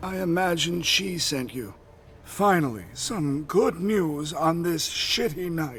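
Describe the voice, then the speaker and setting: A man puts on a character voice, pitched high for a man and moving at a fairly slow pace, over clear background noise. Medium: video game. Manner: blunt, curt, cynical.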